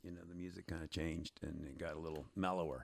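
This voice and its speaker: A man's very deep, low voice at a fairly quick pace, with ordinary pitch variation and a very clean recording over a silent background. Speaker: musician in a cover band. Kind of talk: casual conversation about rock music.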